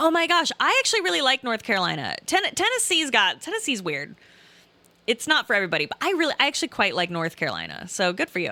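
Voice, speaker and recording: Very fast and animated, a woman projects a raised voice at a high pitch with very wide pitch swings and a bright, sharp tone, the sound dry and close with no echo. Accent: American. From southern Illinois. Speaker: streamer reading chat. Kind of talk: casual live stream chat. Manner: animated, many fillers and restarts.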